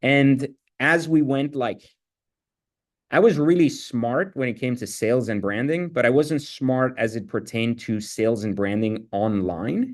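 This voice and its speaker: Against a quiet background, a man speaks at medium pitch. His pace is fairly slow and his intonation lively. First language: not English. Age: 40s. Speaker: entrepreneur. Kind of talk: interview. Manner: casual, filler-heavy.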